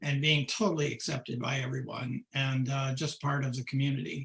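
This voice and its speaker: Speaking at a moderate pace, a man uses a fairly high voice with a bright, sharp tone. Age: 70s. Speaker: pediatrician and global health director. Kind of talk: casual talk at a donor webinar.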